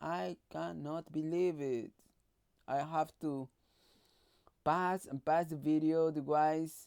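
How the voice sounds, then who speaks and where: A woman with a non-native accent speaks at a very slow pace with long, frequent pauses, her very deep, low voice dark and mellow in tone, with fairly even intonation and a dry, close sound with no echo. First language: not English. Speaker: YouTuber reacting to videos. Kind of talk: reaction commentary.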